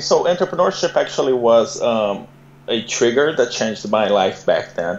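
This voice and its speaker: A man speaks with a Brazilian Portuguese accent, his pitch swinging very widely. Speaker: entrepreneur and immigrant guest. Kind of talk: interview. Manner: halting with many fillers and repeats.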